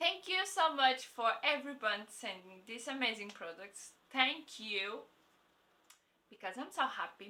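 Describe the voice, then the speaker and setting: The speaker has a non-native accent. The tone is bright and sharp. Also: woman. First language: not English. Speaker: beauty vlogger. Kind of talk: product review vlog. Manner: halting; enthusiastic.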